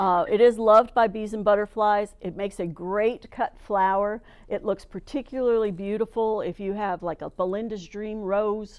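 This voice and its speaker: A woman in an American accent, enthusiastic in tone, at medium pitch for a woman and a moderate pace, with hardly any pauses. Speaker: master gardener giving a plant talk. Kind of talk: presentation to a club.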